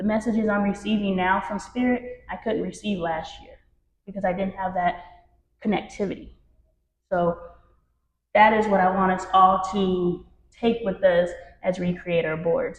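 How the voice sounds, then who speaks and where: A somewhat breathy woman's voice at medium pitch, moderate pace and fairly even intonation, with long, frequent pauses and big swings in loudness. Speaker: spiritual workshop leader. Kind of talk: workshop talk to a group. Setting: room with live audience.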